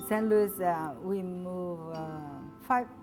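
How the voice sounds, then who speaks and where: A woman speaks with music in the background. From São Paulo, Brazil. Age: 40s. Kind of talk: interview answer.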